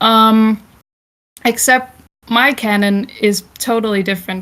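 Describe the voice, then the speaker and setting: A woman with a Danish accent speaks at a fairly high pitch with fairly even intonation, in a very clean recording with a silent background. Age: 20s. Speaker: festival talk speaker. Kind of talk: informal talk to an audience. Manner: sometimes stumbling over words; many filler words, unscripted.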